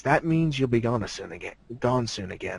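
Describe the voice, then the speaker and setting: A man in a put-on character voice, medium in pitch, at a moderate pace. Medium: read story. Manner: gruff, understated.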